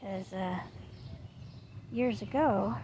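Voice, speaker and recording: A soft-spoken woman at a medium pitch talks at a very slow pace. Noticeable background noise and audible room echo fill the recording. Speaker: vlogger. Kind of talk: casual vlog. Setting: outdoors.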